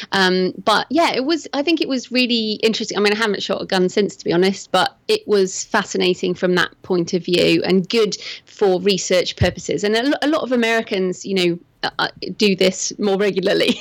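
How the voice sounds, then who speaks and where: A woman talks at a fairly quick pace with a British accent. Her pitch is medium, with ordinary variation. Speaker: thriller author. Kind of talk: interview.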